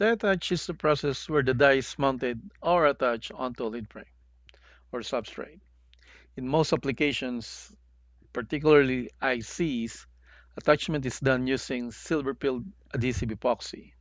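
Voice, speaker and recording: Someone with a non-native accent speaks at a moderate pace with ordinary pitch variation and long, frequent pauses. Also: man, medium pitch for a man. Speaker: semiconductor packaging instructor. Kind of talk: educational tutorial narration.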